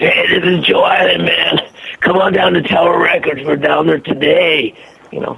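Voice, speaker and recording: The speaker uses a gruff, put-on character voice. The pace is moderate. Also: man. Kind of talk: casual, salesy.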